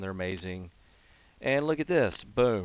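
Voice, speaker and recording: A man talks with a slight Texan accent. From Texas. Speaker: gaming YouTuber. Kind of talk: casual gameplay commentary. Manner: rambling, filler-heavy.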